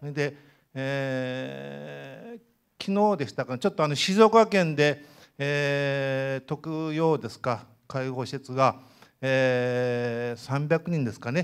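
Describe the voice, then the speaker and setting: Very slow speech with ordinary pitch variation and big swings in loudness, over a quiet background. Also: man. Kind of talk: audience comment at public meeting. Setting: indoor hall, seated with microphone. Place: hall.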